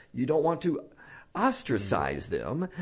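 An American-accented man with vocal fry talks at a moderate pace, his pitch swinging very widely. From Texas. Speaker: preacher. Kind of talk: casual chat.

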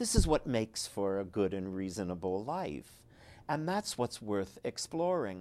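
On a very clean recording with a silent background, a man with a fairly low pitch and a dark, mellow tone talks fairly slowly with lively intonation. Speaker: author and biographer. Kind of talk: interview about his book.

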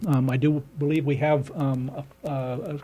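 A man's fairly high voice comes out somewhat breathy, its tone dark and mellow. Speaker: community radio talk show host. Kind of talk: radio talk show. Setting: studio.

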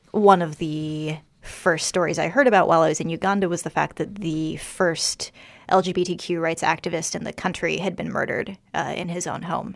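A woman with an American accent, fairly low-pitched with vocal fry and fairly even intonation, at a moderate pace in a very clean recording with a silent background. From US, Washington DC. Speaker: documentary photographer. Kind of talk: radio interview.

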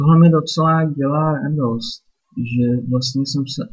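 The man has a medium pitch and sounds somewhat breathy. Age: 30s. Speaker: podcaster and Czech language tutor. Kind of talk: solo monologue podcast. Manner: casual.

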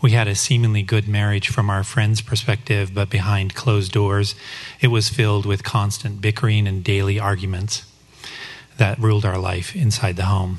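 Over noticeable background noise, a man with an American accent speaks at a moderate pace in a fairly low pitch with fairly even intonation. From Colorado, US. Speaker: church member sharing testimony. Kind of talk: testimony. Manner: read from script.

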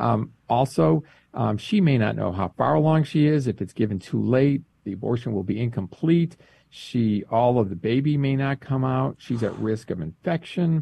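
A man's dark, mellow, somewhat breathy voice at medium pitch, with lively intonation and a moderate pace. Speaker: director of a pro-life advocacy group. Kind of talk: interview. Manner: explanatory, informative.

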